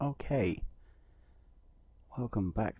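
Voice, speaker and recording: A man talks fairly slowly in a dark, mellow, somewhat breathy voice with ordinary pitch variation. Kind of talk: casual gameplay commentary. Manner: hesitant, filler-heavy.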